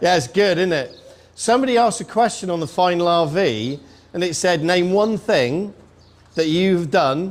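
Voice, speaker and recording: This man has a high pitch and a British accent. He talks at a moderate pace with lively intonation. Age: 60s. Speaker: army veteran and author. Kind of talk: speech. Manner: animated.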